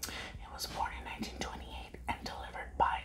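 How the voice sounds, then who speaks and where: A soft-spoken woman is whispering against noticeable background noise. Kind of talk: soft-spoken whisper vlog, reading the packaging. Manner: soft ASMR whisper, reading aloud. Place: home room. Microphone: lapel.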